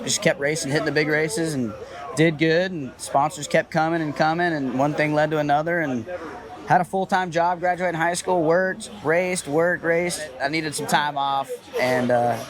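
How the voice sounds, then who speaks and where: A man with an American accent talks at a moderate pace in a fairly high pitch, with ordinary pitch variation. Noticeable background noise runs under his voice. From US South, Georgia. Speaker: professional RC racer. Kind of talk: interview.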